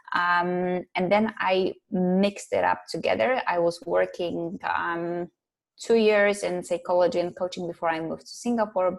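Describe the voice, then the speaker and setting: At a moderate pace, a woman with a Polish accent talks in a fairly low pitch with fairly even intonation. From Poland. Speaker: psychologist and life coach. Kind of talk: interview.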